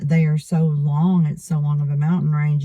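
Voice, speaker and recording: Someone with an Appalachian accent talks at a moderate pace. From eastern Kentucky. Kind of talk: casual accent tag conversation.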